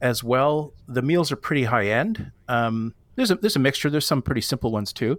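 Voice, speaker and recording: A normal speaking voice with lively intonation flows with hardly any pauses at a very even loudness. The recording is very clean with a silent background. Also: man, medium pitch for a man, fairly quick pace. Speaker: podcast guest, YouTuber and backpacker. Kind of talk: casual chat.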